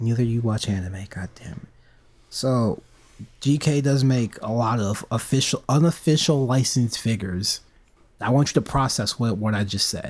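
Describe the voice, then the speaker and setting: A man's unremarkable speaking voice, medium in pitch with ordinary pitch variation, at a moderate pace. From United States. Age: 20s. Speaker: podcast co-host. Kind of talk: casual chat.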